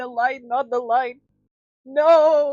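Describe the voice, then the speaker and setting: A female-sounding voice puts on a high-pitched character voice. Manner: dramatic, spooky.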